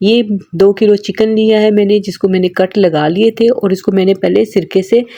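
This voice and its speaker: The speaking pace is moderate. Background noise is noticeable. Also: woman. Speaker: cooking channel host. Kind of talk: cooking tutorial.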